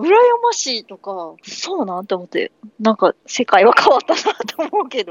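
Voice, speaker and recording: The voice has a Kansai accent and moves at a moderate pace. Its pitch swings very widely, and its loudness shifts in big swings. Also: woman, high pitch for a woman. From Kansai, Japan. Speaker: podcast guest, third-generation Korean resident of Japan. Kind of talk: casual chat.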